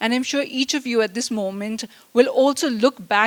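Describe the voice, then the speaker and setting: A woman speaking at a moderate pace. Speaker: invited speaker at a convocation. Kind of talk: speech. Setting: event hall with audience, speaking without mic. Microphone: no microphone, speaking unamplified.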